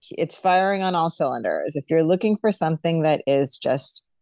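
A woman with an ordinary speaking voice talks at a moderate pace in a fairly low pitch with lively intonation, recorded dry and close with no echo against a quiet background. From New York. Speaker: podcast co-host. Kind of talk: casual chat.

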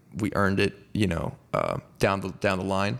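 With vocal fry, a man speaks at a fairly low pitch. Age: 20s. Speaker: metal vocalist and bassist. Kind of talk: casual interview.

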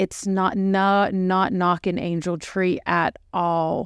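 A woman with an American accent speaks at a very slow pace. Her voice sits at a fairly low pitch. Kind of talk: casual chat.

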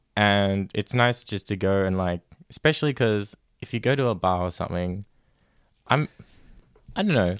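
A dry, close sound with no echo and ordinary variation in pitch. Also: man. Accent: Australian. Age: 20s. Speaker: podcast guest. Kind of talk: casual chat. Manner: hesitant.

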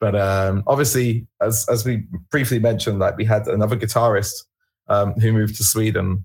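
Speaking at a moderate pace, a man uses a fairly low pitch with monotone, flat intonation, his somewhat breathy voice keeping a very even loudness. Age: 30s. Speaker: rock band singer. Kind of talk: casual interview. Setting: online call.

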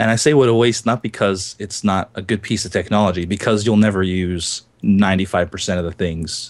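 A man speaks at a moderate pace with a fairly low pitch and ordinary pitch variation. It is a normal speaking voice. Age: 30s. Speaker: gaming podcast host. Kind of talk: casual chat.

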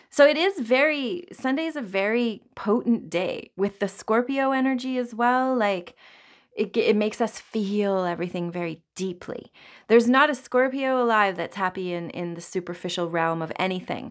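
A woman with a plain, everyday voice talks at a moderate pace, pitched fairly high, with lively intonation. The recording is very clean, over a silent background. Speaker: astrologer podcast host. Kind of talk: solo podcast monologue on astrology. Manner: casual, filler-heavy.

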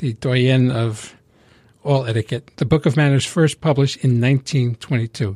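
A man's fairly high, somewhat breathy voice, dry and close with no echo. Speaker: co-host and radio DJ. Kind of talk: casual chat. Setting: studio.

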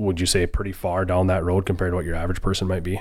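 Here a man speaks at a very fast pace. His pitch is very deep and low. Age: 20s. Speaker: podcast host. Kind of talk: casual interview chat. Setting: studio.

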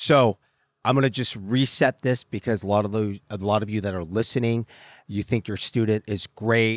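In a very clean recording with a silent background and a dry, close sound with no echo, a man with a fairly low pitch and an unremarkable speaking voice talks at a moderate pace with fairly even intonation. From Southern California. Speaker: podcast host. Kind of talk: casual interview.

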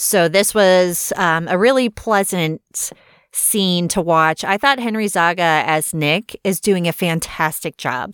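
A woman talks in a normal speaking voice at a medium pitch, her intonation lively. The recording is very clean, with a silent background and a dry, close sound with no echo. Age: 40s. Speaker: podcast host reviewing TV episodes. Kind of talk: solo review monologue.

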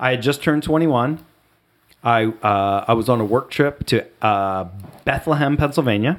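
A man with an American accent speaks at a moderate pace and medium pitch. His loudness stays very even, and his pitch varies in an ordinary way. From US Midwest, southwest Ohio (Dayton area). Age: 40s. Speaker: podcast guest, friend of host. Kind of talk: casual chat.

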